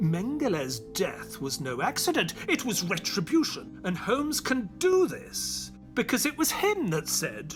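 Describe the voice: A man uses a put-on character voice, high-pitched with very wide pitch swings, at a fairly slow pace with few pauses. Faint music plays in the background.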